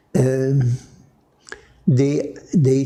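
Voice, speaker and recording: Somewhat breathy and dark, mellow in tone, a man with a Polish accent speaks at a very slow pace. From Poland. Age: 80s+. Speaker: Franciscan priest. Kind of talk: interview answer.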